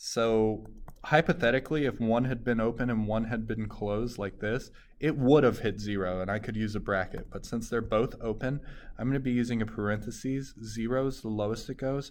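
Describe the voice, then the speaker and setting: A man's normal speaking voice, medium in pitch, with fairly even intonation and a fairly quick pace. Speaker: math teacher. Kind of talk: tutorial.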